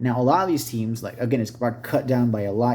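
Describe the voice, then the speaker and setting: A man speaks at a medium pitch in a dark, mellow tone, somewhat breathy, with fairly even intonation. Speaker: tabletop gaming YouTuber. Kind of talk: unboxing video, casual solo talk. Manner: mumbling; halting, self-correcting.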